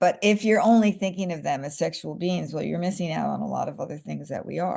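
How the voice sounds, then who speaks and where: The speaker talks in a New York accent at a very fast pace. The tone is animated. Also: woman. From Staten Island, New York, US. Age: 60s. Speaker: screenwriter and social media creator. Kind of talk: interview.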